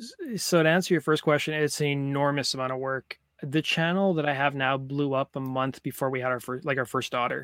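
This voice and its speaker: A man with an ordinary speaking voice talks at a fairly high pitch and a fairly quick pace, with hardly any pauses. His intonation is fairly even, and the sound is dry and close with no echo. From Canada. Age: 30s. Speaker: YouTuber. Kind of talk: interview.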